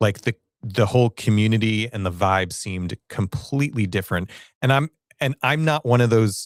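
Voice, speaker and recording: In a very clean recording with a silent background and a dry, close sound with no echo, a man with a plain, everyday voice speaks at a fairly low pitch with ordinary pitch variation. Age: 40s. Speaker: live streamer and content creator. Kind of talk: live stream talk to audience. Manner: casual, conversational.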